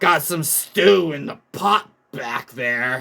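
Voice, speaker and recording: A man puts on a raspy character voice at a fairly high pitch. He speaks at a very slow pace. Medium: read story. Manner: curt, gruff, few words.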